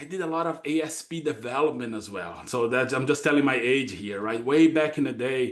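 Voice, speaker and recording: Speaking at a fairly quick pace, a man with a Brazilian accent shows ordinary pitch variation. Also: medium pitch for a man, hardly any pauses. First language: Portuguese. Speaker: data consulting executive. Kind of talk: podcast interview. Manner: halting, many fillers.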